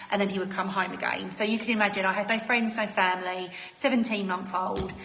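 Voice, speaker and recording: Speaking very fast in a flat monotone at a medium pitch, a woman is heard with audible room echo and noticeable background noise. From England, Essex. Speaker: direct sales consultant and team leader. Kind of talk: live online presentation. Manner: chatty, with many fillers.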